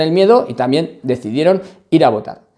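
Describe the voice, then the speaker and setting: Here a man speaks at a fairly high pitch with a dark, mellow tone. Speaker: lawyer and political commentator. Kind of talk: political commentary vlog.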